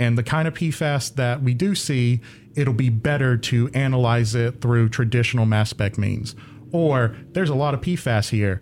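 With an American accent, an ordinary speaking voice keeps a moderate pace and shows ordinary pitch variation. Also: man, medium pitch for a man. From US South, southeastern North Carolina. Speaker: graduate student, chemist. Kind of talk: casual interview. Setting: radio studio.

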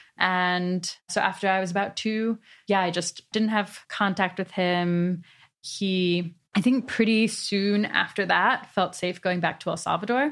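On a very clean recording with a silent background, a woman of medium pitch talks at a fairly slow pace with fairly even intonation. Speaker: researcher. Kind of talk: long-form interview. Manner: conversational.

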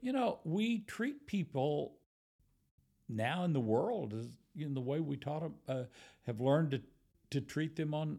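A man's fairly high voice with a dark, mellow tone, lively intonation and a moderate pace. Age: 70s. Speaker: retired minister. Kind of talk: casual chat. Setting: in person.

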